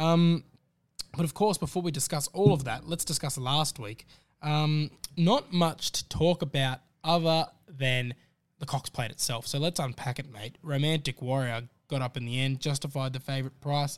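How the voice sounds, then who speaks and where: A fairly high-pitched man with an Australian accent and ordinary pitch variation, in a dry, close sound with no echo. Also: moderate pace. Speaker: racing podcast host. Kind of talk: casual racing analysis chat.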